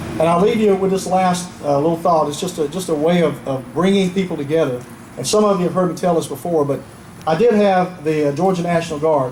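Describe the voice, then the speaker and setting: A high-pitched man with an American accent, amid audible room echo and noticeable background noise. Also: ordinary pitch variation, fairly quick pace. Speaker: retired army general, keynote speaker. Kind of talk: patriotic public speech.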